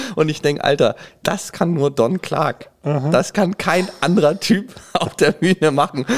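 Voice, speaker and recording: Through noticeable background noise, a man with a fairly high pitch and ordinary pitch variation speaks in an animated tone at a fairly slow pace. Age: 30s. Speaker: stand-up comedian. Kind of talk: casual chat; stand-up. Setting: stage with audience.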